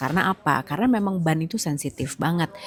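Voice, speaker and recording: A soft-spoken woman talks at a moderate pace with lively intonation and a fairly low pitch. Noticeable background noise is present. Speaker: motorsport podcast host. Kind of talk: solo commentary review. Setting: outdoors in a public place. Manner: soft-spoken, lower voice; casual, chatty.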